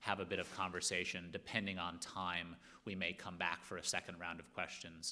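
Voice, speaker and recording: Very deep, low pitch marks a man speaking at a fairly quick pace in a bright, sharp tone with monotone, flat intonation. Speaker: panel moderator. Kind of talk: panel discussion. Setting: stage with audience. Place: hall. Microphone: podium.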